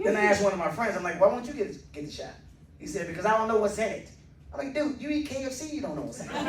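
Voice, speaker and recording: A man with an American accent and a high pitch speaks at a very fast pace in an animated tone with lively intonation and big swings in loudness. Noticeable background noise and audible room echo fill the recording. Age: 60s. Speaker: stand-up comedian. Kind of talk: stand-up. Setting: stage with audience.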